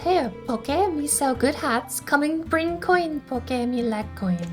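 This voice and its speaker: A woman puts on a squeaky, high-pitched character voice and speaks at a fairly slow pace, with music clearly audible in the background. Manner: broken speech, eager to sell hats.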